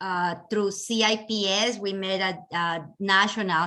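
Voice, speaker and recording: Speaking with a Colombian accent at a fairly slow pace, a woman has a bright, sharp tone. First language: Spanish. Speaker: real estate agent, event chair. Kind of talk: webinar introduction. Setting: video call.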